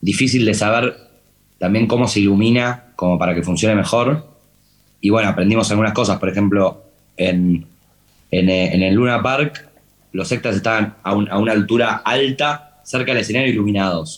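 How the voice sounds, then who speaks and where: A man in a Rioplatense accent, at fairly low pitch with ordinary pitch variation and very even loudness. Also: moderate pace. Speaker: TV series director. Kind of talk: interview talk. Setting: talk with student audience. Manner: halting, many repetitions.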